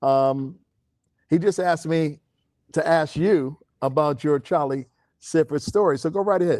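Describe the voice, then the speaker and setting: In a very clean recording with a silent background, a man with a fairly high pitch speaks at a moderate pace with ordinary pitch variation, very even loudness and long, frequent pauses. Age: 60s. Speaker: sports radio host. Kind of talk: radio interview.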